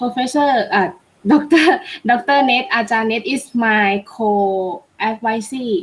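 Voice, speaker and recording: Speaking with a Thai accent, a woman has a fairly high, somewhat breathy voice. Her pace is very slow, but her intonation is lively. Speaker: PhD student. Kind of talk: self-introduction in webinar.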